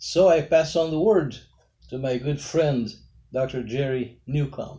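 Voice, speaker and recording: A fairly high, dark and mellow male voice, somewhat breathy, at a fairly slow pace with ordinary pitch variation. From Brazil. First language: Portuguese. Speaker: pastor. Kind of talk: interview. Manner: formal.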